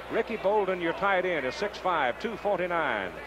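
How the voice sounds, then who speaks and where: A man with a high voice speaks very slowly, with ordinary pitch variation, in a dry sound with no echo and noticeable background noise. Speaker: play-by-play announcer. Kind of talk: sports commentary.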